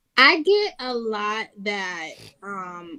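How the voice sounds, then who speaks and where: A woman with a New York accent speaks in a fairly high, bright, sharp voice. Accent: New York (Bronx). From New York, the Bronx. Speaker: battle rapper. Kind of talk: casual interview.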